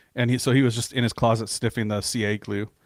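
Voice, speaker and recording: Very clean recording, silent background, dry and close with no echo. A man at medium pitch talks at a very fast pace in a monotone, flat intonation. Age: 40s. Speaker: podcast host. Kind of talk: casual chat.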